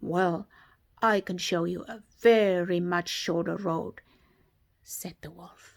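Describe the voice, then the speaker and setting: Very slow speech with long, frequent pauses and fairly even intonation. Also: woman, fairly low pitch for a woman, big swings in loudness. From South Africa. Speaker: storyteller for toddlers. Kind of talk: children's bedtime story. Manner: gentle, soft-spoken.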